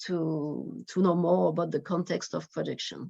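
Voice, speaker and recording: A woman with a French accent against a quiet background. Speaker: researcher. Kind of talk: presentation. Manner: halting.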